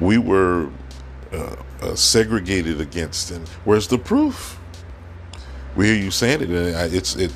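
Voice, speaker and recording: A man speaks at a very deep, low pitch with ordinary pitch variation. His pace is fairly slow, broken by long, frequent pauses. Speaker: podcast host. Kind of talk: opinion monologue. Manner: frequent filler words and hesitations.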